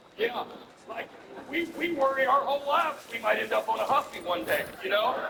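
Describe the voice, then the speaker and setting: With an American accent, a man talks while noticeable background noise plays behind him. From US South, Alabama. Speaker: stand-up comedian. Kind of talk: stand-up.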